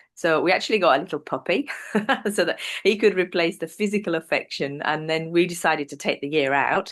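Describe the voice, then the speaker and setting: A woman with an English accent speaks at a fairly quick pace. Her pitch is fairly low, and the background is quiet. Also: ordinary pitch variation. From northern England, North Yorkshire. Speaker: business presenter. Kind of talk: interview.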